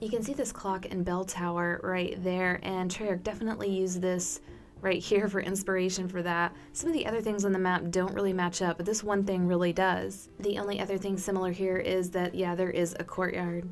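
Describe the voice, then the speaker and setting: Over music in the background, a woman with an American accent talks fairly quickly at a medium pitch, with hardly any pauses, very even loudness and monotone, flat intonation. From Texas. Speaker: gaming YouTuber. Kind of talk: video commentary. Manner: casual.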